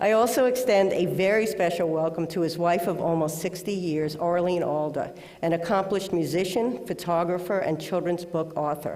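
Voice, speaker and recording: Spoken with a Bronx accent, the delivery moves at a moderate pace with hardly any pauses. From New York City, the Bronx. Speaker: award presenter. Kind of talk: award introduction speech. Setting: auditorium with audience, webcast.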